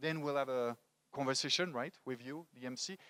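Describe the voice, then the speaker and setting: Speaking fairly quickly with a French accent, a man has a medium pitch and a bright, sharp tone, heard in a dry, close sound with no echo. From France, Paris. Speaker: motivational speaker. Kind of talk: talk to a live audience. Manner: animated.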